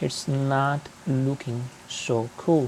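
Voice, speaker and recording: With a non-native accent, the speaker goes at a very slow pace over noticeable background noise. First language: not English. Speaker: aquarium hobbyist youtuber. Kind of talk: tutorial. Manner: hesitant with fillers.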